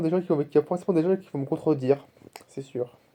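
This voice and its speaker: This man has a fairly high pitch and a dark, mellow tone. His intonation stays fairly even. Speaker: vlogger. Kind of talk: casual vlog monologue. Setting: talking to camera. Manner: fast; repetitive, halting.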